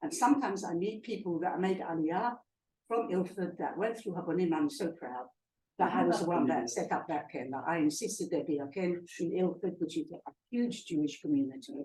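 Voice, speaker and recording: Speaking at a fairly quick pace, a woman uses a fairly low pitch with very wide pitch swings. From East London, England (Cockney). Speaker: guest speaker. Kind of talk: talk to a club audience. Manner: hesitant with fillers.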